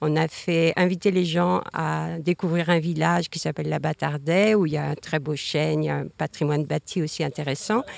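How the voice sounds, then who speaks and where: The sound is dry and close, with no echo. A woman speaks in it at a moderate pace. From Brittany, Morbihan. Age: 60s. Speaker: local resident. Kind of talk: panel discussion. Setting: outdoors.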